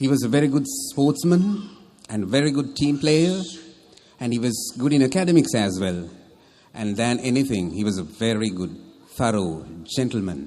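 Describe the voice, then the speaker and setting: A man talks at a moderate pace in a dark, mellow, confident tone. His pitch swings very widely. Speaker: military officer and public speaker. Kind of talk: wedding toast speech. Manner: humorous, confident, well-paced stage delivery.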